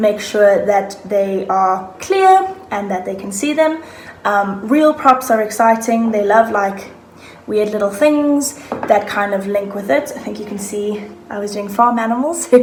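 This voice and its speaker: Against noticeable background noise and audible room echo, a woman with a fairly high pitch speaks at a fairly slow pace. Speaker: online English teacher. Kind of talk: casual talk to camera, tips. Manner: animated.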